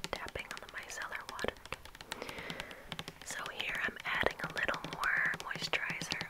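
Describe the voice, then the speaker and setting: Noticeable background noise runs under a woman's whisper. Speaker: ASMR creator. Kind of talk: casual talk while doing makeup and hair. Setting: close-mic bathroom recording. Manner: whispered, soft, intimate.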